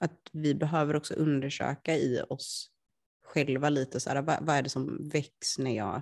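A woman with a very deep, low voice. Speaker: podcast co-host. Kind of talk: casual chat. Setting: lying on a sofa at home.

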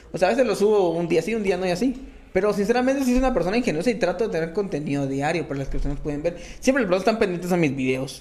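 A man with a high-pitched voice at a very fast clip, lively intonation and audible echo off the room. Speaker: comedian. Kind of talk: casual chat.

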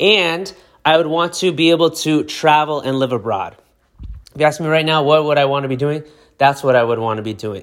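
This man has a plain, everyday voice, pitched fairly high with ordinary variation. He talks at a fairly quick pace. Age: 30s. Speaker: lawyer and podcast host. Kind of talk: solo podcast monologue. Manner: casual, conversational with fillers.

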